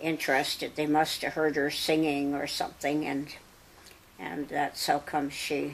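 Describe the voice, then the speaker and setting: Fairly slow, monotone, flat speech in a Canadian Prairie accent. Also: woman, very deep, low pitch for a woman. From Saskatchewan, Canada. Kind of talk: interview answer. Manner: slow, hesitant.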